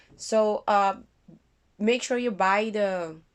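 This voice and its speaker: A woman speaks with a non-native accent. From Curaçao. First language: not English. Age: 30s. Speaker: vlogger. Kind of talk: casual vlog. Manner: halting.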